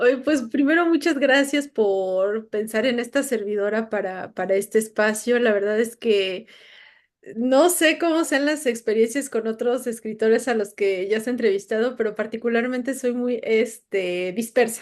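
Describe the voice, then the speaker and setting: Against a quiet background, a woman with a plain, everyday voice speaks fairly slowly at a fairly high pitch, her pitch varying in an ordinary way. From Puebla, Mexico. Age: 40s. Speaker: writer and crime journalist. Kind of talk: interview.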